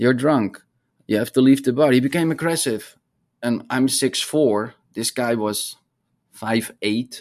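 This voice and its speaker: A man with a Dutch accent speaks at a medium pitch and fairly even intonation. The background is quiet. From Netherlands. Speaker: hydrology professor. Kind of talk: interview conversation.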